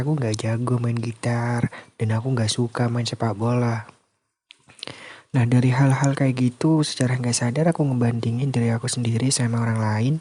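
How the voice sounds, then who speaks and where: A man's ordinary speaking voice, medium in pitch, with fairly even intonation and a moderate pace. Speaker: sleep call / ASMR content creator. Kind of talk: casual sleep call talk, confessional voice message. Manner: calm, intimate, conversational.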